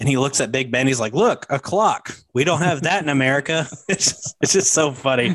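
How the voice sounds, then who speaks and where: A man speaks in a normal speaking voice at a moderate pace, with medium pitch and ordinary pitch variation. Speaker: podcast host. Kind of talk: casual chat.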